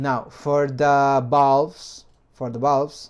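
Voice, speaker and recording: Over a quiet background, a man with a non-native accent speaks at medium pitch with ordinary pitch variation. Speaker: 3D printing hobbyist, video maker. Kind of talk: tutorial.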